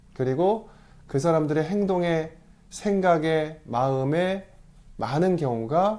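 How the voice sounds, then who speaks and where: At a fairly slow pace, a man talks in a dark, mellow tone with a fairly high pitch. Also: very clean recording, silent background. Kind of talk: lecture. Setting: video letter. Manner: slurred articulation today.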